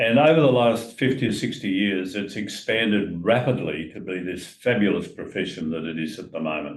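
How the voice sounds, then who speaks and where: This man has an Australian accent, a fairly low pitch and lively intonation at a moderate pace. Room echo is audible around him. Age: 80s+. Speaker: retired financial adviser, retirement coach. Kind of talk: casual chat.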